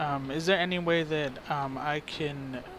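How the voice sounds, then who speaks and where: A man speaks with a fairly high pitch and monotone, flat intonation. Noticeable background noise runs behind him. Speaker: citizen journalist. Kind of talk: phone call to police department. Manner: hesitant, many fillers.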